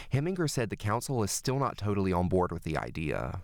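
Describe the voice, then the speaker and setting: A man talks very fast with a fairly low pitch, some vocal fry and lively intonation. The recording is very clean, with a silent background. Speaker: student reporter. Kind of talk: news report.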